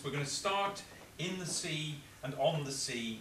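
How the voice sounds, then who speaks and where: A man talks with ordinary pitch variation while noticeable background noise runs underneath. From Cornwall. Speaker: local historian and storyteller. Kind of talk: guided tour introduction to an audience. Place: hall. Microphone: camera far.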